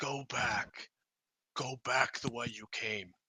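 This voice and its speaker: A raspy put-on character voice at a low-to-middle pitch and a very slow pace. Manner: bellowing, commanding.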